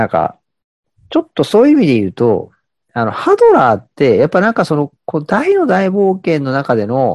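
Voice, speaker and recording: A man at a fairly quick pace, dry and close with no echo, over a quiet background. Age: 30s. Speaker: podcast co-host. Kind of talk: casual chat. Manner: hesitant, many fillers.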